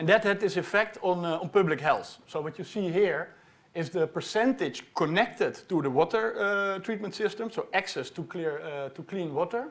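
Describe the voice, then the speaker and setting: A man talks at a moderate pace with hardly any pauses. His voice is high-pitched, with ordinary pitch variation. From Netherlands. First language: Dutch. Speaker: PhD researcher. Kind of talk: popular science talk. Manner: halting, with many fillers.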